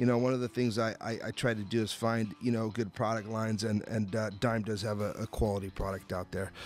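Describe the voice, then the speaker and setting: Faint music sits in the background as a man talks at a moderate pace, the sound dry with no echo. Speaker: radio show host. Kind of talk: talk radio host chat and ad read. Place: studio.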